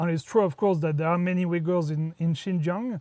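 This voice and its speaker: This man speaks with a French accent. His pitch is high. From France. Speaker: entrepreneur and traveler. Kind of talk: interview. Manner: hesitant, many fillers.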